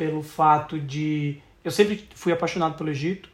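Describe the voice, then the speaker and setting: He speaks fairly slowly. The voice belongs to a man. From southern Brazil, Santa Catarina. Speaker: travel podcast co-host. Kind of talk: casual chat.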